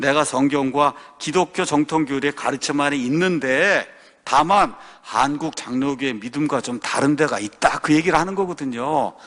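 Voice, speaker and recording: With an animated tone, a man of fairly high pitch speaks at a moderate pace, his pitch varying in an ordinary way. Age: 60s. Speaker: pastor. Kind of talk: sermon-style talk.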